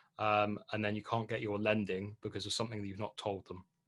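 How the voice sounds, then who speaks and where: A man speaks with a British accent. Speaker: property investment presenter. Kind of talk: webinar presentation. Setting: online webinar. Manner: hesitant with fillers.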